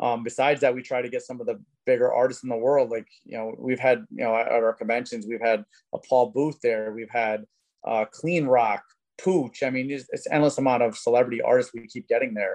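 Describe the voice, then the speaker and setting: A normal speaking voice from a man, fairly quick in pace and medium in pitch. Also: fairly even intonation. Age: 40s. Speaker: tattoo convention organizer. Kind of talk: casual chat.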